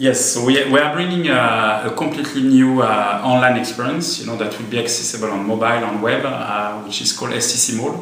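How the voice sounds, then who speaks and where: Through light background noise and audible room echo, a man speaks at a moderate pace. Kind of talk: interview answer. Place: office.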